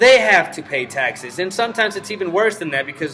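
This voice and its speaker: Behind noticeable background noise, a man talks at a fairly quick pace. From Mexico. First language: Spanish. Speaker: vlogger. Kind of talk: casual rant to camera. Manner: casual, profane.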